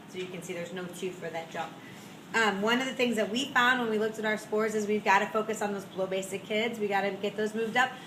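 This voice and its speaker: Noticeable background noise runs beneath a woman speaking at a very fast pace. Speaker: school principal. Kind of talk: meeting presentation. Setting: school meeting with audience.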